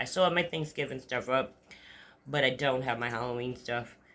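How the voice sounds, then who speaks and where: In an American accent, a woman talks very fast with a bright, sharp tone, a very deep, low pitch, and ordinary pitch variation on a very clean recording with a silent background. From Upstate New York. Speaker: vlogger. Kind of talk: casual monologue. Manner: rambling, halting.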